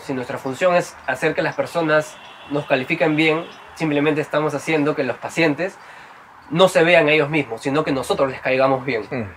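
A man with a fairly high pitch talks at a fairly quick pace with fairly even intonation. Noticeable background noise runs behind him. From Peru (Trujillo). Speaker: psychologist and podcast host. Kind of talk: interview conversation.

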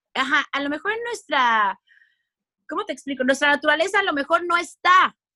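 In a raised, projected voice that is high for a woman, she speaks at a fairly quick pace with lively intonation and a bright, sharp tone, the sound dry and close with no echo. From Mexico. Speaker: radio and television communicator. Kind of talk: casual interview chat.

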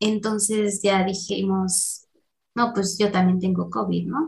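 A somewhat breathy woman with a Mexican accent, very slow pace and fairly even intonation. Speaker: podcast co-host. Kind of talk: casual chat.

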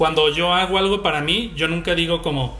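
A man at a fairly high pitch and moderate pace, with music in the background and audible room echo. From Mexico, Guadalajara. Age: 30s. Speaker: illustrator and marketing communicator. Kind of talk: casual chat.

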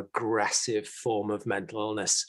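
A man with a British accent, fairly low in pitch, at a moderate pace against a quiet background. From UK. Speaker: podcast co-host and mental health educator. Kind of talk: casual chat, podcast conversation.

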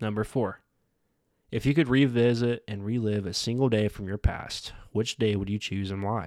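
With a plain, everyday voice, a man speaks at a moderate pace in a fairly low pitch and fairly even intonation, on a very clean recording with a silent background. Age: 20s. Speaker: podcast host. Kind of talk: reflective monologue. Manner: casual, with frequent fillers.

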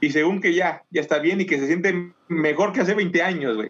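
The speaker uses a Mexican accent and keeps a moderate pace. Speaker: podcast co-host. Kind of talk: casual chat.

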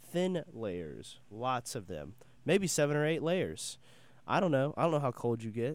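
Speaking slowly, a man with an American accent and a medium pitch makes very wide pitch swings. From western North Carolina. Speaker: college radio host. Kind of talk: radio show, solo chat with song introductions. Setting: radio studio. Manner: casual, halting with fillers.

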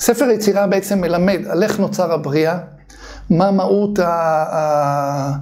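A man speaks at a very slow pace in a high voice, with ordinary pitch variation and very even loudness. Noticeable background noise and audible room echo fill the recording. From Israel, Bnei Brak. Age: 50s. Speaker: kabbalah author and teacher. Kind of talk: casual chat.

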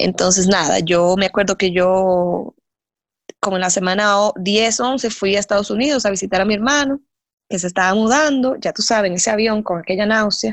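This woman has a normal speaking voice at medium pitch, with ordinary pitch variation and very even loudness. She speaks at a moderate pace against a quiet background. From Dominican Republic. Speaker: mother of a child with Down syndrome. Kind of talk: casual interview.

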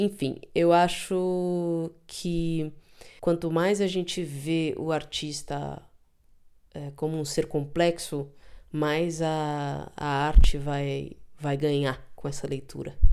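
A woman with a very deep, low pitch and a dark, mellow tone talks very slowly in a monotone, flat intonation. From São Paulo, Brazil. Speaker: drummer and composer. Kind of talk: interview testimony.

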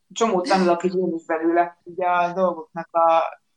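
This woman has an unremarkable speaking voice at a fairly low pitch. Her intonation stays fairly even. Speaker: podcaster. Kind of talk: casual chat.

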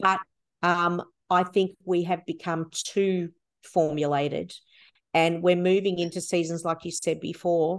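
A woman with an Australian accent speaks at a fairly slow pace and fairly low pitch. Her intonation stays flat and monotone over a quiet background. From Melbourne, Australia. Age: 50s. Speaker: worship leader and songwriter. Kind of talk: interview conversation.

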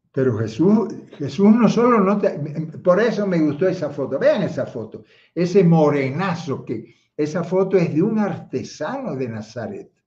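A man talks at a fairly slow pace in a high voice. His pitch swings very widely, and the room echo is audible. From Cuba (Havana, Marianao). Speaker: theologian and online speaker. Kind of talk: livestream talk with chat greetings. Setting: livestream, chat only.

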